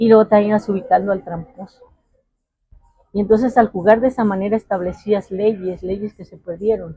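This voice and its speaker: A woman talks at medium pitch and a moderate pace, somewhat breathy, in a dark, mellow tone. Her intonation is fairly even, but her loudness swings widely. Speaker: interviewee, local resident. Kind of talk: interview.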